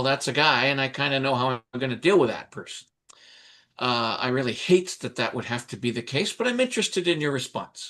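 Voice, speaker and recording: A man with fairly high pitch talks at a moderate pace with lively intonation in a normal speaking voice. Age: 60s. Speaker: panel moderator. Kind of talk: panel discussion. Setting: livestream.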